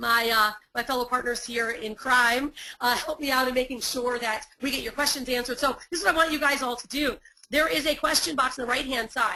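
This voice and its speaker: A woman speaks in a high pitch with a bright, sharp tone and ordinary pitch variation. Her voice is raised and projected. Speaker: online marketing coach. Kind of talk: webinar workshop. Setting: live webinar. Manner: fast; animated.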